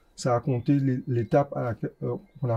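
A somewhat breathy man's voice, dark and mellow in tone, with ordinary pitch variation. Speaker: rapper. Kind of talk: interview. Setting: bookstore cultural space.

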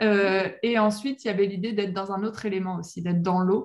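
A woman talks in a normal speaking voice at a fairly quick pace. Her intonation is fairly even, and the background is quiet. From western France, La Rochelle. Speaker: professional mermaid performer. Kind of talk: interview.

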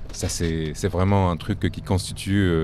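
Noticeable background noise sits behind this man as he talks. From Tunisia, Tunis suburb. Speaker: musician. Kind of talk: interview.

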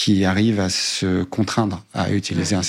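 Fairly even intonation marks a plain, everyday voice, captured on a very clean recording with a silent background. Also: man. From southern France, Cévennes. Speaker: lawyer, law firm co-founder. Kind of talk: interview conversation. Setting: firm's meeting room.

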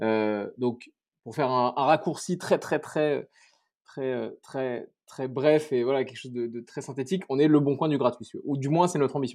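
Against a quiet background, a man speaks at a medium pitch. His pace is fairly slow and his pitch varies in an ordinary way. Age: 30s. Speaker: startup co-founder. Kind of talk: interview. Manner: halting.

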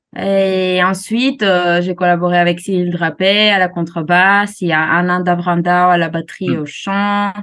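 A woman speaks with a Greek accent at a fairly slow pace, with hardly any pauses. Her intonation is monotone and flat, and her loudness stays very even. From Greece, Alexandroupolis in Thrace. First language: Greek (speaking French). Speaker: jazz singer. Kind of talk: interview. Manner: halting.

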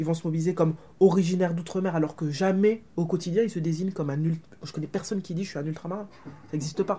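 Speaking at a very fast pace, a woman with a fairly low pitch has a dark, mellow tone, a somewhat breathy quality and fairly even intonation. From Martinique. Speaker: academic author. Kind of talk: book talk interview.

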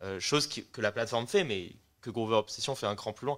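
This is a plain, everyday voice with ordinary pitch variation. It moves along at a fairly quick pace. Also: man. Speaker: music startup co-founder. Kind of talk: casual chat.

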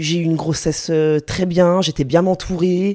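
Her voice is fairly low in pitch, dark and mellow, and this woman keeps a monotone, flat intonation. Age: 30s. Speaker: specialized educator and young mother. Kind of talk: casual chat. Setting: at the host's home.

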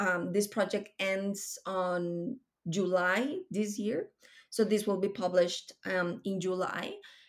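Speaking at a very slow pace with fairly even intonation, a woman with a medium-pitched voice is heard in a very clean recording against a silent background. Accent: Spanish. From Colombia. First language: Spanish. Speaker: tech program director. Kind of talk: interview.

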